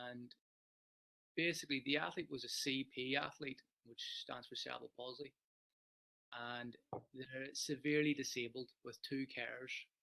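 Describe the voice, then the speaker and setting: In an Irish accent, the speaker uses a bright, sharp tone and monotone, flat intonation, moving at a moderate pace with long, frequent pauses. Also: man, medium pitch for a man. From Ireland. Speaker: sports psychologist. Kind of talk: webinar talk. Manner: loud.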